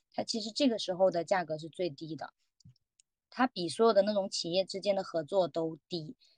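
An ordinary speaking voice at a moderate pace, with big swings in loudness. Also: woman, medium pitch for a woman, ordinary pitch variation, dry, close sound with no echo. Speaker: roundtable participant. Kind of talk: casual chat. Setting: video call.

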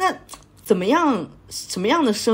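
A woman speaks with very wide pitch swings. Her voice is somewhat breathy. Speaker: podcast host. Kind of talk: casual chat.

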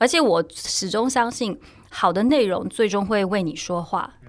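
This woman has an unremarkable speaking voice with a fairly high pitch. She talks at a fairly slow pace with ordinary pitch variation. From Taiwan. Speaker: journalist and sports blogger. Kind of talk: casual chat.

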